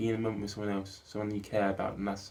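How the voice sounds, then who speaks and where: In a dark, mellow tone, a man mumbles at a fairly low pitch with monotone, flat intonation, and audible room echo surrounds him. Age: 20s. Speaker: filmmaker vlogger. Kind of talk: personal video diary monologue. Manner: mumbling.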